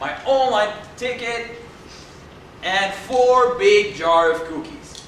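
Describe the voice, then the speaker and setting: A high-pitched man's voice with lively intonation, over noticeable background noise and audible room echo. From Dominican Republic. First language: Spanish. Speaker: speech contestant. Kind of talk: humorous speech.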